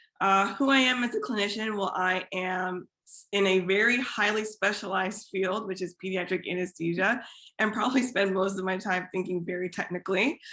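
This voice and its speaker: Speaking at a fairly quick pace with hardly any pauses, a woman with an American accent uses an unremarkable speaking voice and fairly even intonation. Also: medium pitch for a woman. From US Midwest, Iowa. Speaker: physician and fiction writer. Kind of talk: panel discussion.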